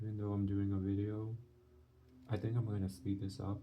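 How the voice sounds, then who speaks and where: A man with a fairly low voice speaks in a dark, mellow tone that is somewhat breathy, with audible room echo around him. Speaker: art channel creator. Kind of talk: drawing tutorial commentary. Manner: soft-spoken; halting.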